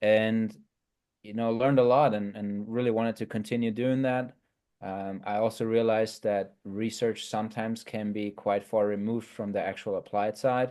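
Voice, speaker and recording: Medium-pitched male speech, dark and mellow, flat and monotone, at a moderate pace over a quiet background. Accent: German. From Germany. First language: German. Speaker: sport scientist. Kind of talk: podcast interview.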